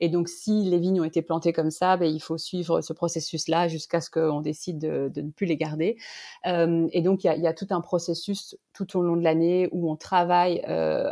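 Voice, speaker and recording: Against a quiet background, a woman with a fairly low pitch and a dark, mellow tone speaks in a monotone, flat intonation. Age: 30s. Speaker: winemaker. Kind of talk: interview. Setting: podcast. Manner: halting.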